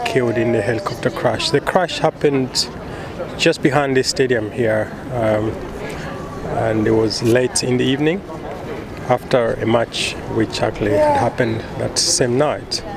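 Over noticeable background noise, a man speaks at a moderate pace, the sound dry with no echo. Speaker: vlogger filming tribute site. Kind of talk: casual vlog commentary. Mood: somber, respectful. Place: stadium. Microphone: phone near.

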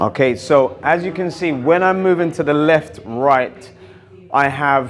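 Against light background noise, a man talks at a very slow pace. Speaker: boxing coach. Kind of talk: tutorial. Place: gym.

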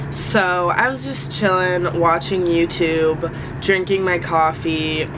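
A woman speaks very slowly in a fairly low voice. Noticeable background noise runs underneath. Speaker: college student vlogger. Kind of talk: casual vlog chat. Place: home room. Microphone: phone near.

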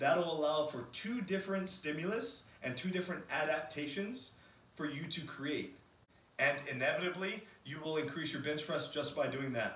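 A man talks at a moderate pace with a fairly high pitch and ordinary pitch variation. His tone is fairly bright, and the room echo is strong.

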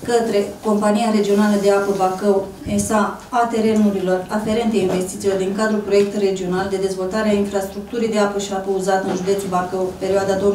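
Over light background noise and audible room echo, a woman speaks at a very fast pace in a monotone, flat intonation. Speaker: council meeting official. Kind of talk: formal agenda reading. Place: meeting room.

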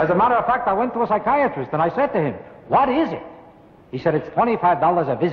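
In an American accent, a man talks very fast at a high pitch with very wide pitch swings, amid audible room echo. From United States. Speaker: stand-up comedian. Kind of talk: stand-up comedy routine. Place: studio. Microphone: old recording.

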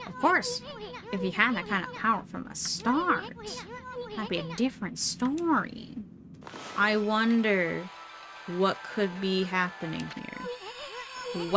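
A put-on, nasal, female-sounding character voice at medium pitch, fairly slow with long, frequent pauses, over clear background noise. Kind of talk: comic overacting. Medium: virtual streamer. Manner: brash, chattering, worried.

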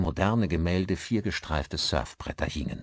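In a very clean recording with a silent background, a man speaks at a low pitch with lively intonation.

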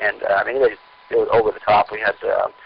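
A man speaks with an American accent at a moderate pace. Noticeable background noise sits behind him. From Southern California. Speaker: sailor and sailmaker. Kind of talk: interview. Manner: halting.

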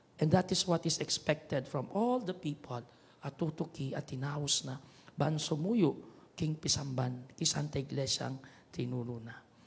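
Somewhat breathy and fairly high-pitched, a man speaks at a fairly slow pace with ordinary pitch variation and big swings in loudness. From Pampanga, Philippines. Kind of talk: homily. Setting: chapel radio broadcast. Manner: preaching, earnest, conversational, with repeated 'ne?' tag questions; switches between Kapampangan, Tagalog and English. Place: church. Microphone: handheld.

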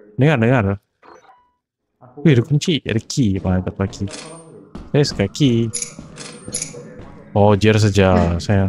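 A man with a fairly low pitch talks at a very slow pace. His intonation is lively, broken by long, frequent pauses. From Sabah, Malaysia. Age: 20s. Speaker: gamer. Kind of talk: casual multiplayer gameplay talk.

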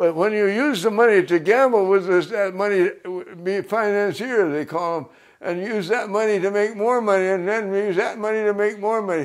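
In an American accent, the speaker talks at a moderate pace with fairly even intonation over a quiet background. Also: man, high pitch for a man. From American Midwest. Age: 80s+. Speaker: farmer. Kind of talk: interview answer. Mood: indignant about greed. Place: home room.

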